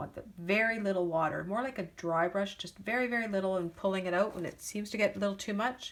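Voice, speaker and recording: A woman at medium pitch with fairly even intonation in a plain, everyday voice. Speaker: card-making crafter. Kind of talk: tutorial. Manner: casual, chatty.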